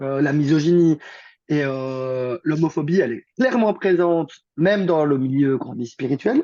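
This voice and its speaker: Recorded dry and close with no echo, a man speaks fairly slowly in a fairly high pitch with ordinary pitch variation. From Belgium, Liège. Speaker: therapist and coach. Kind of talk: interview conversation. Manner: casual, hesitant with repetitions.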